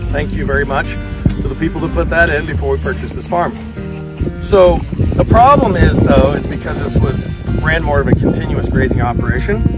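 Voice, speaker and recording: Loud music plays in the background as a man talks. His fairly quick pace comes through in a dry sound with no echo. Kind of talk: casual outdoor demonstration. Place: open country.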